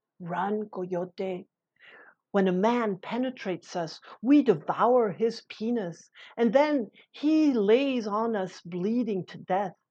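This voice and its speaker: The speaker goes at a very slow pace with ordinary pitch variation and big swings in loudness. The background is quiet. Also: woman, fairly high pitch for a woman. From Mexico. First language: Spanish. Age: 50s. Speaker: storyteller. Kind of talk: storytelling.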